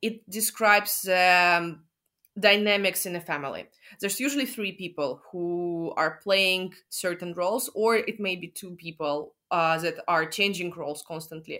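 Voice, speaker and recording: On a very clean recording with a silent background, a woman speaks at a medium pitch and moderate pace with ordinary pitch variation. Her tone is bright and sharp, and her loudness swings widely. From Russia, Moscow. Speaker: interview guest sharing therapy experience. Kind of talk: casual interview.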